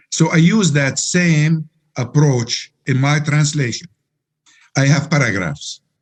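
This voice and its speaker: With an Arabic accent, a man speaks very slowly, with long, frequent pauses, at a fairly high pitch and with ordinary pitch variation. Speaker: Quran translator. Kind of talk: interview. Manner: halting.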